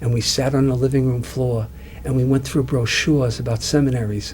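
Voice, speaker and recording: A man talks at a fairly quick pace in a Brooklyn accent. Noticeable background noise is present. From Long Island, New York, US. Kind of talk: interview. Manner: halting, many fillers and repeats.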